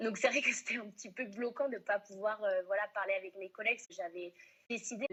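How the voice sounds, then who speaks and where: A woman talks at a fairly quick pace with a fairly high pitch. She has an ordinary speaking voice. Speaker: restaurant manager. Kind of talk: interview.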